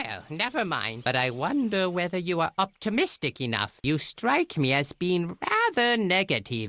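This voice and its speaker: In a put-on character voice with a pompous tone, a man speaks high in pitch with very wide swings at a moderate pace, the sound dry and close with no echo. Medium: video game. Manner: pompous, condescending.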